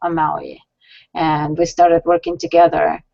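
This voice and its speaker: A woman speaks with a Russian accent. Her pitch is fairly low. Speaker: science center founder and director. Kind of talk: interview on web show.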